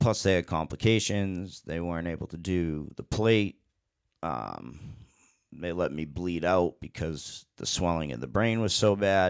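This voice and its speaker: On a very clean recording with a silent background, a man with a very deep, low pitch talks at a fairly slow pace with ordinary pitch variation. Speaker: DJ and online show host. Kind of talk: casual monologue answering chat questions. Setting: live stream with chat. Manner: halting, gets stuck on words; slower than he used to talk.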